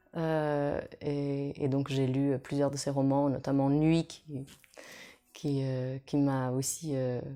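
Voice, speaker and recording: A woman speaks very slowly in a very deep, low voice with a dark, mellow tone. Her intonation is flat and monotone, on a very clean recording with a silent background. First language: Portuguese (speaking French). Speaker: opera singer. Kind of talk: interview answers. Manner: hesitant, many fillers.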